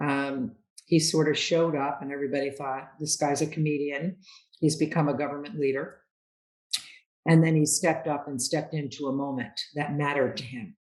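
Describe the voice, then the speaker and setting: A woman with a very deep, low pitch, a fairly quick pace and fairly even intonation. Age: 70s. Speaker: business leader and author. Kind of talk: interview.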